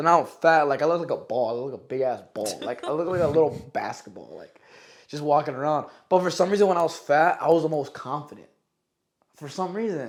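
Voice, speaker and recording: Very fast speech from a man with an American accent, fairly high pitch, ordinary pitch variation and big swings in loudness. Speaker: podcast host. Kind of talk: casual chat. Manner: animated.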